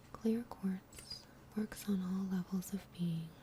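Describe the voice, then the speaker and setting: Soft-spoken whispering at a fairly slow pace. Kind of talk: whispered ASMR reading about crystals. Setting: gentle crackling fire in the background. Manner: soft-spoken, whispered.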